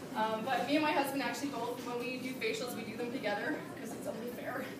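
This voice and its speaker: Amid noticeable background noise and audible room echo, a woman speaks loudly at a very fast pace with a high pitch and monotone, flat intonation. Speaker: direct sales distributor. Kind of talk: product demonstration at a team meeting. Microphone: speaking without the mic.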